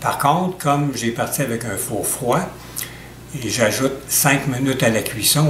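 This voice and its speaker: Over noticeable background noise and audible room echo, a man speaks at a moderate pace and medium pitch with ordinary pitch variation. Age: 70s. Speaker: home cook. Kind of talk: tutorial. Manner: measured, with frequent hesitations.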